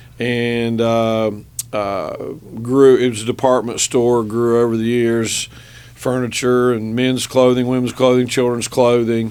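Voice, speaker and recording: A man's medium-pitched voice with a West Virginia accent, fairly slow and flat in a monotone, over noticeable background noise. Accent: Logan, West Virginia accent, kept. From southern West Virginia (Logan County). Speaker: business owner and state legislator. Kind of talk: radio interview. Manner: halting, many fillers and repeated words.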